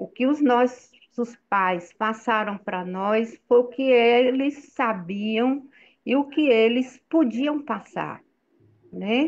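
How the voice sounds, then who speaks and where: Her pitch high, a woman speaks at a very slow pace. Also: ordinary pitch variation. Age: 60s. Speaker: participant in spiritual group chat. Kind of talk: online group discussion. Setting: video call.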